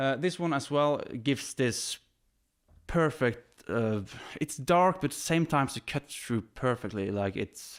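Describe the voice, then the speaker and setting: In a very clean recording with a silent background, a man speaks at a very slow pace with lively intonation. His pitch is medium, and he has a Norwegian accent. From Norway. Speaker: drummer. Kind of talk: equipment demo. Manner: animated.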